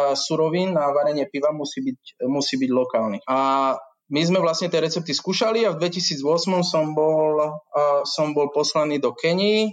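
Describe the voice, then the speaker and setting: A plain, everyday voice, a man's, fairly high in pitch, fairly slow, with ordinary pitch variation and very even loudness against a quiet background. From central Slovakia, near Žiar nad Hronom. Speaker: brewery manager. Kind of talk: interview.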